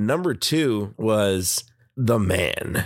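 A man with an American accent speaks in a fairly low voice on a very clean recording with a silent background. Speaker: podcast host. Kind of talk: solo political commentary podcast. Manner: loose, natural delivery, less monotone.

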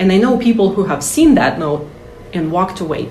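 Amid noticeable background noise and audible room echo, a woman with a Russian accent speaks at a moderate pace. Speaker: translator and author. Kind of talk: interview.

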